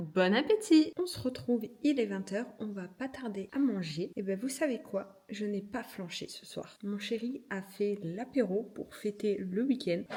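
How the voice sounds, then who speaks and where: Speaking at a fairly slow pace, a woman has a somewhat breathy voice, lively intonation and big swings in loudness. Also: medium pitch for a woman. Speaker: lifestyle vlogger. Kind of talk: casual vlog. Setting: at home. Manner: soft-spoken.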